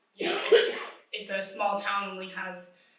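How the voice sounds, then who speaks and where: Mumbling at a moderate pace, the speaker is heard with audible room echo. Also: woman. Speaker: climate nonprofit manager. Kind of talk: conference panel talk. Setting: conference panel with audience. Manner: hesitant, many fillers.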